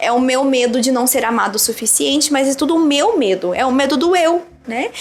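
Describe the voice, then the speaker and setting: A woman's voice with ordinary pitch variation. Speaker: psychologist and relationship coach. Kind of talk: casual chat. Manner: fast; animated.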